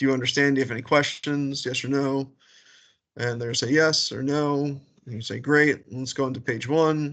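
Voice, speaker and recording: Fairly quick, monotone, flat speech from a man with an American accent and fairly high pitch, over a quiet background. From New York. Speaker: military recruiter trainer. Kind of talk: training briefing. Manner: fast.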